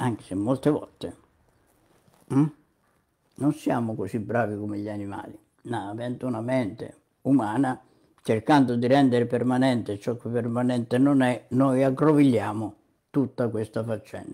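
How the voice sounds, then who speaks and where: Over a quiet background, a man with a dark, mellow tone speaks at a moderate pace with fairly even intonation and long, frequent pauses. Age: 80s+. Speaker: online commentator on psychology and medicine; online commentator on psychology. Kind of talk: monologue commentary. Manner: frequent filler sounds (mm, hm). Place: home room. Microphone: webcam.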